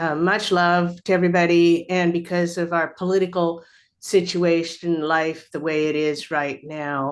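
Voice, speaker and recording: This woman has a plain, everyday voice, fairly low in pitch, with ordinary pitch variation and a fairly slow pace. The background is quiet. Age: 60s. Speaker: community member and artist. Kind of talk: announcement at an online board meeting.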